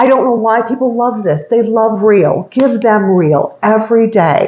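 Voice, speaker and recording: A woman with a fairly high pitch speaks at very even loudness amid noticeable background noise. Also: ordinary pitch variation. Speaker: cooking demo vlogger. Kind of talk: cooking tutorial. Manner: fast; chatty, casual.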